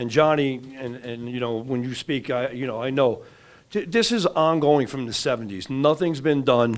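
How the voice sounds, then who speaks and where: A man with an American accent speaks at a moderate pace, his medium pitch showing ordinary variation. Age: 60s. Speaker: resident speaking at public forum. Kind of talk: public comment at community meeting. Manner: animated, frustrated.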